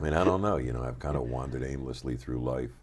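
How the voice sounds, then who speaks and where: In an American accent, a man speaks at a fairly quick pace with a very deep, low pitch and ordinary pitch variation. Audible room echo surrounds his voice. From US, Philadelphia. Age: 60s. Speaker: record producer. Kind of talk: interview. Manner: casual.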